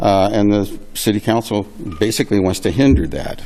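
Over music in the background, a man talks at a moderate pace in a fairly low voice with ordinary pitch variation. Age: 70s. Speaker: storage facility owner giving public testimony. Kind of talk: public testimony. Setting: public meeting.

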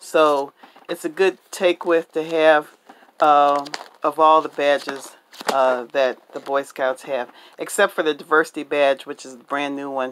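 The pace is moderate, and there is light background noise. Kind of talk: tutorial. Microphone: phone near.

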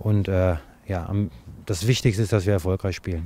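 Rattling along at a very fast pace, a man speaks at a fairly low pitch in a dark, mellow tone, with a dry sound and no echo. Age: 40s. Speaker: football coach. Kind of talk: interview. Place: open country. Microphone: handheld.

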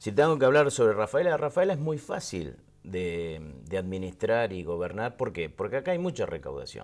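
The delivery is fairly quick. Its pitch swings are very wide. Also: man. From Argentina. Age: 50s. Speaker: interview guest. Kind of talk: casual chat. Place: studio.

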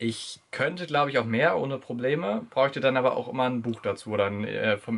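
With ordinary pitch variation, a man speaks very fast. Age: young. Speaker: retail clerk, young father. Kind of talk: casual Q&A interview. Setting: in a car. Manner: hesitant, many fillers. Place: home room.

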